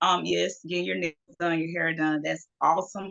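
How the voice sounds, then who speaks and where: A woman's very deep, low voice with vocal fry, in an American accent. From US South, Georgia (Macon). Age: 40s. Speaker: model. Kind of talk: interview.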